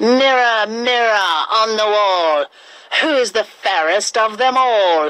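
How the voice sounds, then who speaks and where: A woman puts on a character voice with a fairly high pitch. She speaks at a fairly slow pace with lively intonation. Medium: read story.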